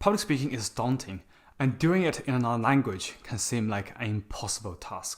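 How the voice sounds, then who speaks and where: With a Chinese accent, a man speaks at a moderate pace, his pitch swinging very widely. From China. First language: Mandarin Chinese. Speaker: public speaking coach, YouTuber. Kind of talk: scripted talk to camera.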